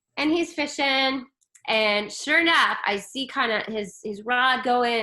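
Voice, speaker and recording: A woman's loud, high, animated voice, bright and sharp in tone, with lively intonation. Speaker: spiritual coach. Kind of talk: casual chat.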